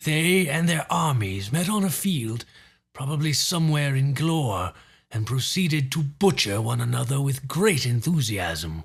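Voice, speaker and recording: On a very clean recording with a silent background, a man performs a put-on character voice at a medium pitch. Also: moderate pace. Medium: read story. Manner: measured, dryly witty.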